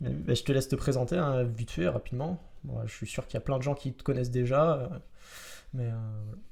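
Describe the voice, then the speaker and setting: At a very fast pace, a man talks in a somewhat breathy voice of medium pitch. His pitch variation is ordinary, and he leaves long, frequent pauses. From Marseille, southern France. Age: 20s. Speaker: metalworker and podcast host. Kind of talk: casual podcast chat. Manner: hesitant, many fillers.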